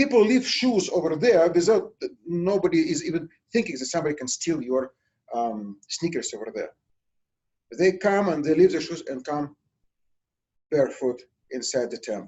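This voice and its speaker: This man talks at a moderate pace in a Russian accent, his high pitch swinging very widely and his loudness rising and falling sharply, with long, frequent pauses. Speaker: nursing instructor. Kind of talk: lecture. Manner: halting with many fillers.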